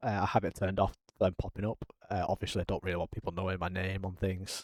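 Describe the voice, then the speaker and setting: Speaking very fast in an English accent, a man has a dark, mellow tone and fairly low pitch, recorded dry and close with no echo on a very clean recording with a silent background. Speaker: gaming YouTuber. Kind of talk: gameplay commentary. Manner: frequent 'um' fillers.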